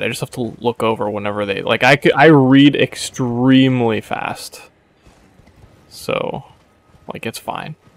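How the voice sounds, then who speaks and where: An ordinary speaking voice with ordinary pitch movement at a moderate speed, the sound dry and close with no echo. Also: man, big swings in loudness. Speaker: video game streamer. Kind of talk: casual gaming stream chat. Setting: voice chat with friends while streaming.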